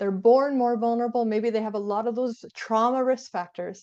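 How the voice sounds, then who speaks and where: Her tone is dark and mellow as this woman talks at a fairly quick pace. The background stays quiet. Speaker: therapist. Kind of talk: lecture. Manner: fast.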